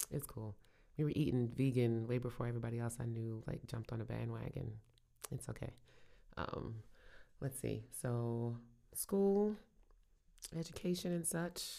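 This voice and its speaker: With a Brooklyn accent and a dark, mellow tone, the speaker moves at a moderate pace with lively intonation and long, frequent pauses. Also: woman, very deep, low pitch for a woman. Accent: New York (Brooklyn). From Brooklyn, New York. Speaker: podcast co-host, small business owner. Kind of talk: casual chat. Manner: laughs often.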